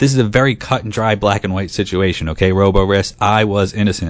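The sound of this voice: Putting on a robotic character voice, a man speaks at a very fast pace with a fairly low pitch.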